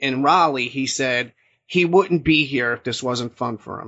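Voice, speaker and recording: A man speaks with a normal speaking voice at a fairly high pitch. His pace is fairly slow, with ordinary pitch variation. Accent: American. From New Jersey. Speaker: podcast host, wrestling journalist. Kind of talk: casual sports discussion.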